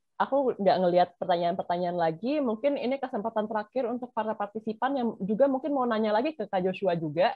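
Recorded dry with no echo against a quiet background, a woman speaks at a medium pitch with ordinary pitch variation. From Indonesia. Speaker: webinar moderator. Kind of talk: moderating Q&A. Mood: relaxed, friendly, casual Indonesian. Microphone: video call.

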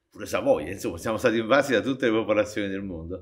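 Against a quiet background, the speech moves at a very fast pace. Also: man. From Naples, Italy (San Giovanni a Carbonara). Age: 60s. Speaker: popularizer of Neapolitan culture. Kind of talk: interview. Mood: playful, humorous. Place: stage.

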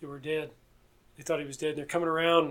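A man with a Southern US accent talks at a fairly high pitch in a monotone, flat intonation. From US South. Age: 20s. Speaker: police officer. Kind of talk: casual chat. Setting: at his home.

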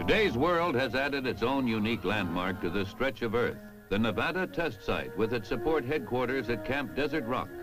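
A medium-pitched man speaks with lively intonation and hardly any pauses, at a moderate pace. His loudness is very even, and music plays in the background. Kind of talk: documentary narration.

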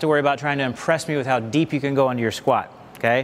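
This man's voice sits fairly high in pitch. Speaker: fitness instructor. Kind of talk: exercise class instruction. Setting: television studio class. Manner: clear, instructional, repeating 'okay?' to check in; calm, patient, encouraging. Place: hall.

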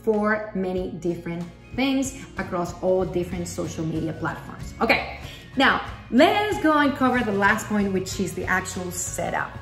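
Faint music plays in the background as a woman speaks at a moderate pace, with audible room echo. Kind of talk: tutorial. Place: home room. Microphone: phone near.

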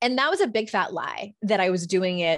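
A woman speaks at a medium pitch and a moderate pace. The background is quiet. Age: 40s. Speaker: life coach and author; life coach. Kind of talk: interview conversation. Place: home room. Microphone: studio mic.

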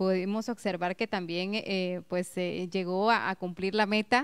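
Speech comes at a moderate pace against a quiet background. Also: woman. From Guatemala. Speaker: local TV host; TV interviewer host. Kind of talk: TV interview. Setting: TV studio. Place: studio. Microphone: handheld.

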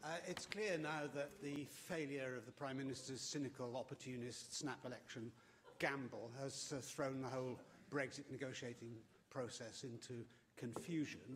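Against noticeable background noise, a man with a somewhat breathy voice speaks at a moderate pace with ordinary pitch variation. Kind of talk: parliamentary question. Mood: combative, pointed. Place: hall. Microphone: podium.

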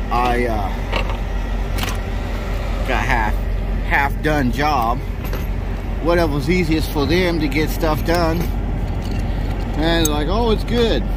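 A man at a very slow pace, with long, frequent pauses and noticeable background noise. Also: dry sound with no echo. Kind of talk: casual vlog chat. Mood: mildly annoyed. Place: street. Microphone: phone near.

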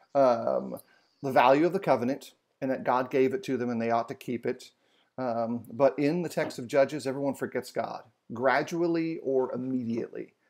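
Ordinary pitch variation from a man speaking at a moderate pace. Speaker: bible study host. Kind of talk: lecture. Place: home room.

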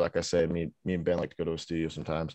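Against a quiet background, a man with an American accent talks at a very fast pace in a very deep, low pitch, with a dry sound and no echo. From Utah, US (Sandy, near Salt Lake City). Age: 20s. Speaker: rapper and beat maker. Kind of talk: interview. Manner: casual, filler-heavy. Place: home room. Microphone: studio mic.

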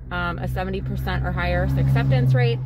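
A woman at a moderate pace, dry sound with no echo, noticeable background noise. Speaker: delivery driver vlogger. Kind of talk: casual vlog chat. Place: car. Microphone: phone near.

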